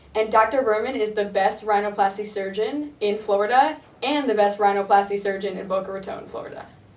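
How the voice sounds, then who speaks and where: Over noticeable background noise, a woman with an American accent talks at a fairly quick pace with big swings in loudness and hardly any pauses. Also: fairly high pitch for a woman, fairly even intonation. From US Northeast, Connecticut. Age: 20s. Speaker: surgery patient. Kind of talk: testimonial interview.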